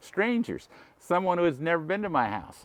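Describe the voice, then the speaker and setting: A man speaks in a Californian accent. The background is quiet. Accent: Californian American. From Southern California, Huntington Park area. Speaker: elderly man recounting childhood. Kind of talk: reminiscing storytelling. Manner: halting, many repeated words.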